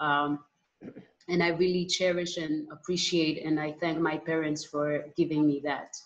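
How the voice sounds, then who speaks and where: Flat, monotone delivery from a woman with a very deep, low voice and an Israeli accent. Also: fairly slow pace. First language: Hebrew. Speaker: musician, artist; panel moderator. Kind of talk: panel discussion. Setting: video call. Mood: calm, reflective. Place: home room. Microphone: video call.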